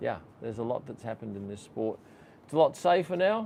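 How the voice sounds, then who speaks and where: An Australian accent marks this man's medium-pitched voice, which moves at a moderate pace with lively intonation. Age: 60s. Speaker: F1 photographer and YouTuber. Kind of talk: live stream Q&A chat. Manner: casual, conversational.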